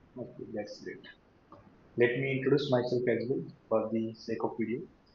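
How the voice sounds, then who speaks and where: There is audible room echo as a man talks at medium pitch and a moderate pace, his intonation fairly even but his loudness swinging widely. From Latur, Maharashtra, India. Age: 20s. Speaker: software developer, English practice host. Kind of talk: interview conversation.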